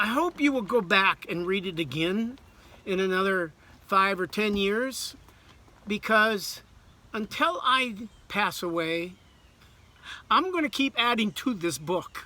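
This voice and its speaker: A man uses a raised, projected voice at a high pitch with lively intonation. Long, frequent pauses break up his speech. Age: 60s. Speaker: author. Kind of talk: personal video message.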